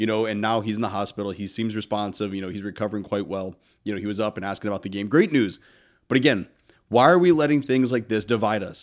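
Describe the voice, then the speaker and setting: In a very clean recording with a silent background, a man with an American accent talks at a very fast pace and a fairly low pitch. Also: ordinary pitch variation. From northern US. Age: 30s. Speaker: podcast host. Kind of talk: motivational monologue. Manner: casual.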